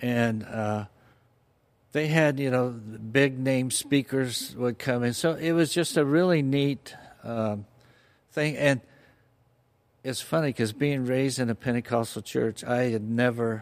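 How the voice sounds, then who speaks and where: A man at a fairly slow pace with a Californian accent, medium pitch, ordinary pitch variation, and long, frequent pauses. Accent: Californian American English. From Southern California, Fullerton. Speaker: church member sharing faith story. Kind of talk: personal testimony interview. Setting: church studio.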